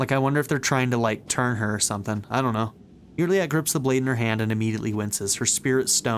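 Someone reads aloud in a natural voice, and the pitch varies by an ordinary amount.

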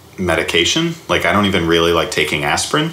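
There is audible room echo and noticeable background noise as a man speaks with an American accent. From US South, Alabama. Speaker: comedy writer and improviser. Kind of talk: casual interview. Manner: halting, many fillers.

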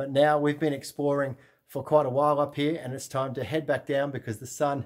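A man speaks at a fairly quick pace over a quiet background. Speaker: travel vlogger. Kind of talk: casual vlog chat. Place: tunnel cave. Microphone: phone near.

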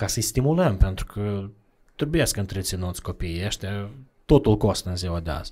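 A man with a dark, mellow tone and fairly low pitch speaks at a moderate pace with lively intonation. The background is quiet. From Moldova, Bălți; Moldova. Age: 30s. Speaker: charity representative; podcast guest. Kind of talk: casual interview. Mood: calm, reflective. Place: studio. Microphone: studio mic.

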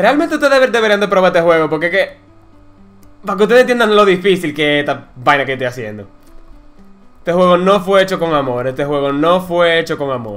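Music plays in the background as a man speaks at a very fast pace in a high voice with very wide pitch swings. Long, frequent pauses break up his speech. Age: 20s. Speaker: gaming YouTuber. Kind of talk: gameplay commentary. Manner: casual, excitable.

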